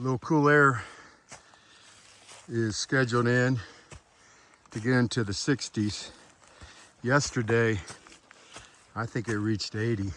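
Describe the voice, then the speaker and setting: A man with an American accent at a medium pitch, ordinary pitch variation, a fairly slow pace with long, frequent pauses, and noticeable background noise. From Florida. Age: 60s. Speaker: hiking vlogger. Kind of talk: outdoor vlog narration. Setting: outdoors on a mountain trail. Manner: casual, halting with fillers.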